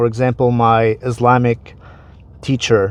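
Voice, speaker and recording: A man speaks at medium pitch with an Arabic accent. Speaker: online commentator. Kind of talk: explainer monologue. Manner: casual, conversational.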